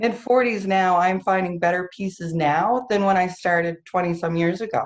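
At a moderate pace, a woman with a New Brunswick accent speaks in a fairly low pitch. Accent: Atlantic Canadian (New Brunswick). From Campobello Island, New Brunswick. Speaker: sea glass festival founder. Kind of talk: casual interview. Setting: video call.

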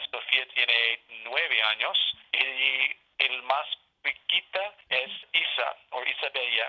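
This speaker is a man with an English accent. He talks at a very slow pace. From Alaska. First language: English (speaking Spanish). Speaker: state senator. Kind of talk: interview. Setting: phone call. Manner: halting.

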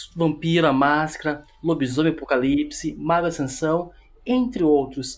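In a southern Brazilian accent, a man with a fairly high pitch talks at a fairly slow pace with ordinary pitch variation. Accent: gaucho. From southern Brazil, Porto Alegre. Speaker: tabletop game content creator. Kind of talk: casual chat.

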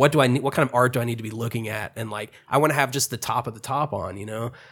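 On a very clean recording with a silent background, an unremarkable speaking voice shows ordinary pitch variation. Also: man. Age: 30s. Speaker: podcaster. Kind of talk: casual chat.

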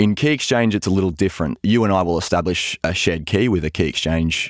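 Speaking fairly quickly with an Australian accent, a man uses a very deep, low pitch with ordinary pitch variation, recorded very cleanly and dry and close with no echo against a silent background. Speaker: cryptography researcher. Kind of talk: interview, explanatory chat.

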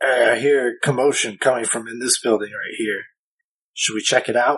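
Putting on a character voice, a man sounds raspy at a medium pitch, with monotone, flat intonation, a moderate pace, and big swings in loudness. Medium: actual play.

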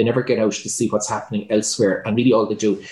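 A man with an Irish accent. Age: 50s. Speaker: entrepreneur and hotelier. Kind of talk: interview.

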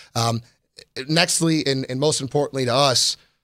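A man's fairly high voice with an American accent, at a fairly quick pace. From Chicago, Illinois. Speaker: motorcycle dealership service manager and show host. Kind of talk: live-streamed show, casual presentation. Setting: studio.

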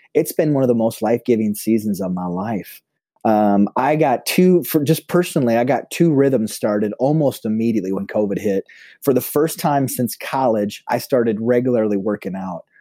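At a moderate pace and medium pitch, a man with an Upper Midwest accent uses lively intonation and a dark, mellow tone in a very clean recording with a silent background. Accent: Upper Midwest American. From South Dakota, US Midwest. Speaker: pastor. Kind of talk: casual interview chat. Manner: animated.

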